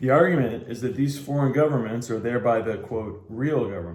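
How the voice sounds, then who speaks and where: Somewhat breathy, a man with medium pitch speaks at a fairly quick pace. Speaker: amateur book reader. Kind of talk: reading aloud. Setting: in a bar. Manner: halting cold reading with stumbles.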